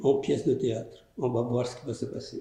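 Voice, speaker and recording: A man speaks at a moderate pace in a dark, mellow tone that is somewhat breathy. His voice carries audible room echo. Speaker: filmmaker and storyteller. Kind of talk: post-screening interview. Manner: soft-spoken.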